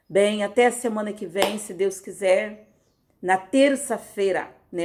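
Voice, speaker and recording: This woman's voice sits at a fairly high pitch with ordinary pitch variation, and she talks at a very slow pace. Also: big swings in loudness. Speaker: pastor. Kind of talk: casual sign-off; prayer. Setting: recorded audio devotional.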